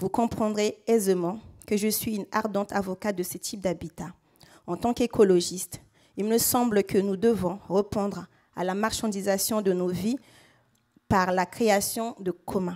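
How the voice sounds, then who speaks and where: A woman with a Central African accent, fairly slow and with fairly even intonation, long, frequent pauses, on a very clean recording with a silent background. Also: medium pitch for a woman. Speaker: local elected official and resident. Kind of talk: prepared speech. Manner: formal.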